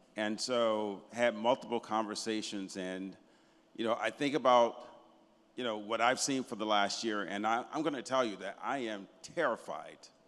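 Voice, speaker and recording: In a very clean recording with a silent background, a man with an American accent talks at a moderate pace with a medium pitch and ordinary pitch variation. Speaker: audience member asking question. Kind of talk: audience question. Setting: conference with audience.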